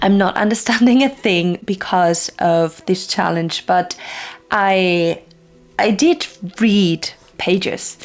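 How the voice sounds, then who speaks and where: Over noticeable background noise, a woman of medium pitch speaks at a very slow pace with a non-native accent and ordinary pitch variation. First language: not English. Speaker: book reviewer. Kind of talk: casual video review.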